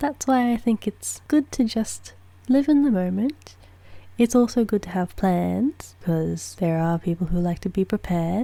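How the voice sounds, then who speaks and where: This woman is soft-spoken and somewhat breathy, with a dark, mellow, calm tone. Her intonation is lively. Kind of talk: ASMR soft-spoken chatting to camera. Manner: soft-spoken, calm, slow.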